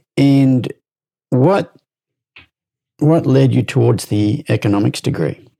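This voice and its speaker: A man with an Australian accent speaks at a very slow pace with long, frequent pauses, medium pitch, lively intonation, very even loudness and a dark, mellow tone, the sound dry and close with no echo. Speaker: horse trainer and podcast host. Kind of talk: interview.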